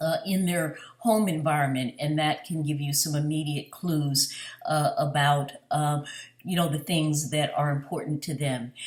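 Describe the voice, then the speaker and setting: This woman's voice is very deep and low, somewhat breathy, with fairly even intonation and a fairly slow pace. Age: 60s. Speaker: physician. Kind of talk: job interview. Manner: halting, many fillers.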